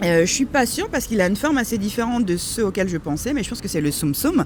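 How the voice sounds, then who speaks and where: Over noticeable background noise, a woman with a medium pitch speaks with very wide pitch swings. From France. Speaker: content creator. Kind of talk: interview. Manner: calm, measured; hesitant, many fillers.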